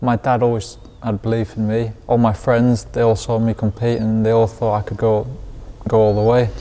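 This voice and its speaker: Flat, monotone intonation marks this man's delivery. His pitch sits in the medium range. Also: moderate pace. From Lanzarote, Spain (English parents). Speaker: professional boxer. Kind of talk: interview.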